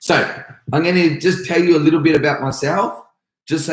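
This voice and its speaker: An energetic man speaks with an Australian accent. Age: 30s. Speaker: karate instructor. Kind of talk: live stream Q&A. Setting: live stream at home.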